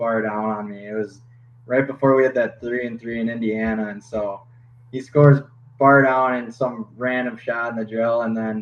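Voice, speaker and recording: A man with a slight Minnesota accent, medium in pitch, at a moderate pace with fairly even intonation. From Minnesota, Twin Cities suburb. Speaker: hockey goalie. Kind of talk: podcast interview.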